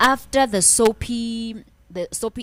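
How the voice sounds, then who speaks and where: This woman speaks with a South African accent. Her intonation stays fairly even. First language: Xhosa. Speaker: biography YouTuber. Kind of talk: casual video commentary. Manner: halting, self-correcting.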